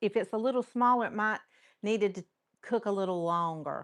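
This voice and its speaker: Against a quiet background, a woman with a North Carolina accent speaks at a fairly quick pace in a medium pitch. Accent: North Carolina Southern American. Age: 60s. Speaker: cooking channel host. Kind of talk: live stream cooking tutorial with chat. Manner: casual, chatty.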